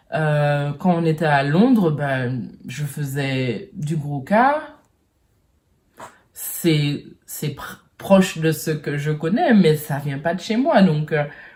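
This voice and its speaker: A woman speaks very slowly, with long and frequent pauses. Her voice is very deep and low in pitch, and somewhat breathy. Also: ordinary pitch variation. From French Caribbean. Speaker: vlogger. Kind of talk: personal vlog monologue. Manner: halting, many hesitations.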